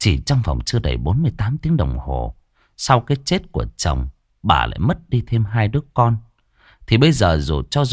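An unforced reading voice is heard, with a quiet background behind it.

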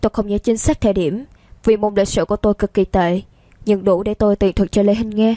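Intonation stays fairly even as the words are read aloud plainly.

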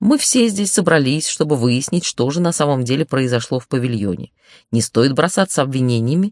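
Reading aloud in a natural voice, with lively intonation, over a quiet background.

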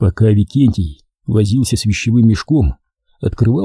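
With a quiet background, the reading is aloud in a natural voice, and the pitch varies in an ordinary way.

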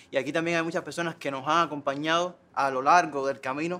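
A man talks at a fairly quick pace with a fairly high pitch. His tone is bright and sharp, and his intonation is fairly even. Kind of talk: meeting speech.

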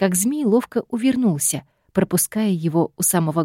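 The reading voice is unforced, and little can be heard behind it.

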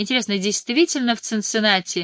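Natural-voiced reading aloud.

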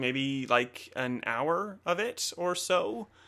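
A man's fairly high, bright, sharp voice at a very slow pace, on a very clean recording with a silent background. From Australia. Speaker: video game podcast host. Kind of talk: casual chat. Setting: live stream from home.

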